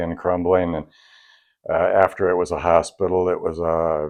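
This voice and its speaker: Over a quiet background, a man with a very deep, low pitch talks at a moderate pace. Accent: American. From Michigan, US Midwest. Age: 70s. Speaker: drummer and vintage drum historian. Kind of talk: interview storytelling. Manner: halting, many fillers and restarts.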